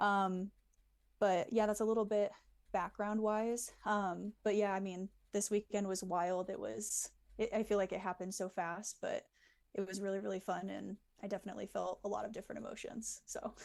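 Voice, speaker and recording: In an American accent, a woman speaks at medium pitch and a moderate pace. Her intonation is monotone and flat, against a quiet background. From US Midwest, Illinois. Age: 20s. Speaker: long drive golfer. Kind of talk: interview.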